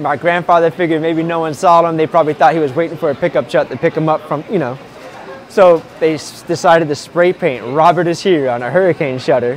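A man with fairly even intonation, dry sound with no echo, and light background noise. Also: fairly quick pace. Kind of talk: interview answer. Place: market. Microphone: lapel.

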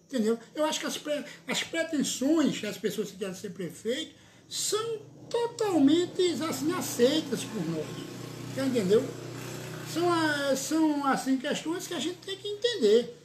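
The speaker talks fairly slowly with very wide pitch swings over noticeable background noise. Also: man, extremely high pitch for a man. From Pernambuco, Brazil (Surubim); Pernambuco, Brazil. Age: 50s. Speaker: local politician, city councillor and lawyer; local politician, city councillor, lawyer. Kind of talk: political interview. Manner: animated. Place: office. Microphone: phone near.

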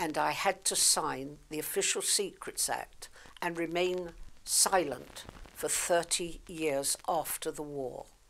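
A woman's fairly low voice with fairly even intonation, at a very slow pace. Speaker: war veteran; author. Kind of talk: book promotion talk.

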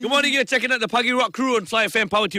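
A man speaks in a raised, projected voice, heard in a dry sound with no echo against a quiet background. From Malaysia. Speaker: radio host. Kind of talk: radio interview. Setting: radio studio. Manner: animated. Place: studio.

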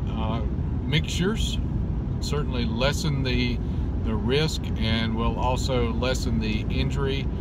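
Loud background noise surrounds a man speaking at a fairly slow pace. The sound is dry with no echo. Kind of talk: casual vlog chat. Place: car. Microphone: phone near.

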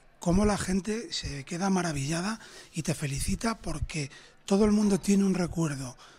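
A man's high-pitched voice carries ordinary pitch variation and moves at a moderate pace. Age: 30s. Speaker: restaurant owner. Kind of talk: interview.

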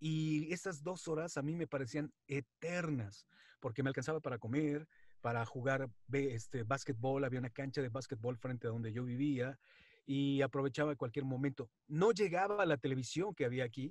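Against a quiet background, a man speaks with a fairly high pitch, a somewhat breathy quality and ordinary pitch variation. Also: moderate pace, dry sound with no echo. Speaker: wrestling announcer and radio presenter. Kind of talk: interview answer. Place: home room. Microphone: video call.

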